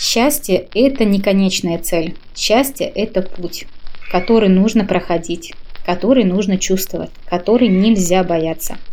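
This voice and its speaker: A woman with an unremarkable speaking voice, medium pitch, ordinary pitch variation and a fairly slow pace. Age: 30s. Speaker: podcast contributor sharing views on happiness. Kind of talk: personal reflective monologue.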